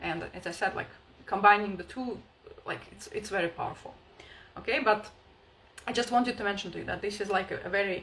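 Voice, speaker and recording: Noticeable background noise surrounds a woman speaking at a very fast pace. Her medium-pitched voice has ordinary pitch variation. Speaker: spiritual healing coach. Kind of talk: live online workshop talk. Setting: livestream.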